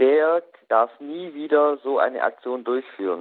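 The man's voice sits fairly high. He talks very slowly. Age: 20s. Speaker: youth association chair, law doctorate. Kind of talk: radio interview.

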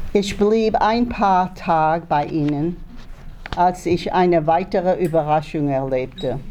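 At a very slow pace, a woman speaks at a fairly low pitch. Her tone is dark and mellow. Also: ordinary pitch variation, very even loudness. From Germany, Baden region, then France and Switzerland as a child. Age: 80s+. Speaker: Holocaust survivor and eyewitness. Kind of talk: reading aloud a prepared testimony. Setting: school assembly in front of pupils. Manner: halting, with hesitations.

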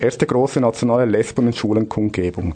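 A man's medium-pitched voice with fairly even intonation, an ordinary speaking voice. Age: 30s. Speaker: radio host, union official. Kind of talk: scripted radio segment.

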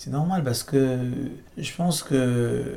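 Noticeable background noise and audible room echo surround a man speaking at medium pitch with ordinary pitch variation. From Cameroon. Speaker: singer-songwriter. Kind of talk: interview. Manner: halting.

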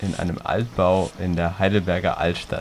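A man talks fairly slowly while noticeable noise plays behind him. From Heidelberg, Germany. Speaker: radio reporter. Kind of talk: narrated report and interview.

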